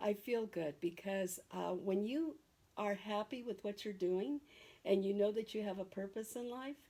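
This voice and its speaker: A woman talks at a moderate pace and medium pitch, her tone dark and mellow, with ordinary pitch variation. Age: 70s. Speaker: esthetician. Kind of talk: interview. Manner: hesitant, with fillers.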